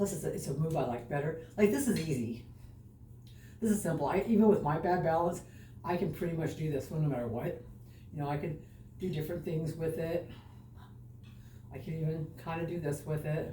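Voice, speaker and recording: A woman's very deep, low voice at a fairly quick pace, with ordinary pitch variation, long and frequent pauses, and audible room echo. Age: 60s. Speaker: fitness vlogger. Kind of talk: exercise vlog. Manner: casual, chatty.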